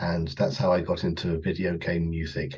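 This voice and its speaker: A man with a southern English accent speaks fairly slowly, his very deep, low voice somewhat breathy. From southern England, Kent. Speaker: composer and orchestral arranger. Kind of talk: casual interview.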